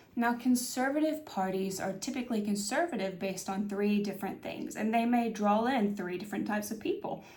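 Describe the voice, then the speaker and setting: In a room with audible echo, a woman with a fairly high, somewhat breathy voice speaks at a fairly quick pace with hardly any pauses and ordinary pitch variation. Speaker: political commentary YouTuber. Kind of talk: video essay monologue. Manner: hesitant, many fillers.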